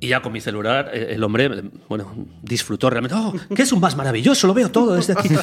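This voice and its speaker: A man's fairly high voice races at a very fast pace with very wide pitch swings, over noticeable background noise. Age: 40s. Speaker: researcher and podcaster. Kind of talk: casual chat.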